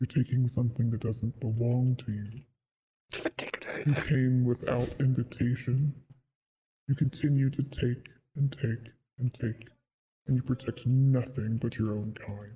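In a put-on character voice, a man booms loudly at medium pitch and a moderate pace, leaving long, frequent pauses. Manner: accusing, stern.

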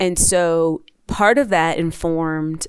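A woman with an American accent and a normal speaking voice talks at a fairly low pitch with ordinary pitch variation. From New Jersey, Maplewood. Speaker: transportation official and author. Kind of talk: interview.

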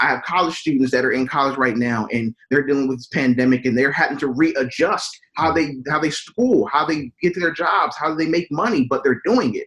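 A plain, everyday voice with an American accent, fairly quick with hardly any pauses and ordinary pitch variation. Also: man, fairly high pitch for a man. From US Mid-Atlantic, Wilmington, Delaware. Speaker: minister and network engineer. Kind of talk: podcast interview.

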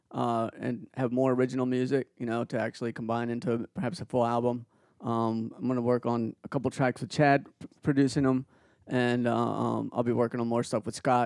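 A man with a medium pitch speaks at a fairly quick pace in a monotone, flat delivery. The sound is dry and close, with no echo. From born in Peru, raised in Baltimore from age eight. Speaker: musician and engineer. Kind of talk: casual chat. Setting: studio.

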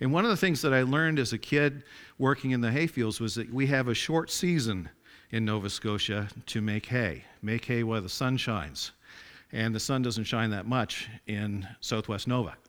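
A plain, everyday voice comes from this man. He speaks at a medium pitch. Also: ordinary pitch variation, moderate pace, very clean recording, silent background. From Atlantic Canada, rural farming area. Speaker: lay preacher. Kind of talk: sermon. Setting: church.

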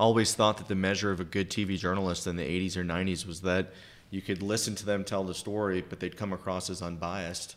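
A man speaks at a very fast pace in a very deep, low pitch. His intonation is monotone and flat. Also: very clean recording, silent background. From New Orleans. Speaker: podcast host. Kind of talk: interview conversation.

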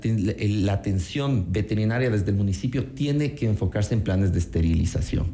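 A man's fairly low, unremarkable speaking voice at a moderate pace, with lively intonation. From Ecuador, Quito. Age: 30s. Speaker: city council candidate. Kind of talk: radio interview.

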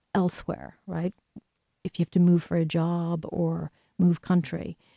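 A woman speaks at a fairly slow pace in a fairly low, dark, mellow voice with flat, monotone intonation. The sound is dry and close, with no echo. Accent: Irish. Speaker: filmmaker and professor. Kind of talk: interview about her work and Irish culture.

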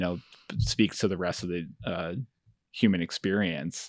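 Over a quiet background, a man with a very deep, low pitch speaks at a fairly slow pace with fairly even intonation, the sound dry and close with no echo. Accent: American. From Finger Lakes, New York. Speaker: photographic artist and educator. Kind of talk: interview conversation.

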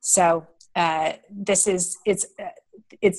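Fairly even intonation runs through a woman's somewhat breathy, fairly low-pitched voice. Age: 50s. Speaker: entrepreneur, founder of a women's funding network. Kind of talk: interview.

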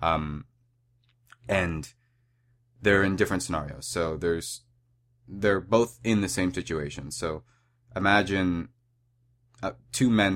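This man's pitch is very deep and low. He delivers his words fairly slowly. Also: very clean recording, silent background. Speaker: podcast host and activist. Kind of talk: solo monologue. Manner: hesitant, many filler words.

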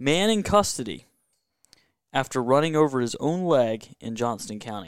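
A man with a Southern US accent speaks at a medium pitch, his voice swinging very widely up and down. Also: moderate pace. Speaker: motorsports and hockey contributor. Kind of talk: casual chat. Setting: home man cave.

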